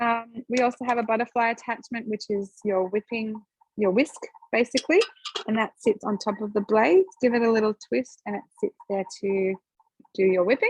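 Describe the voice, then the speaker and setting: Recorded dry and close with no echo, a woman speaks with a fairly high pitch and ordinary pitch variation. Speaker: product demonstrator. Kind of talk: live product demonstration. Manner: fast.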